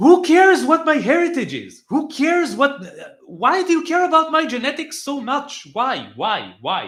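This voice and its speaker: A man with an Israeli accent, extremely high in pitch, with ordinary pitch variation and a moderate pace. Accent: Hebrew. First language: Hebrew. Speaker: political commentator. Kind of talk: live reaction stream. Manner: halting, many filler words; animated.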